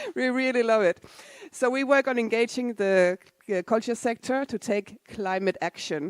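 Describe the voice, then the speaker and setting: A woman's fairly high voice in a Danish accent, fairly slow, with ordinary pitch variation and a dry, close sound with no echo. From Denmark. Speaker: non-profit climate and culture organizer. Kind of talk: conference talk. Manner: casual, conversational.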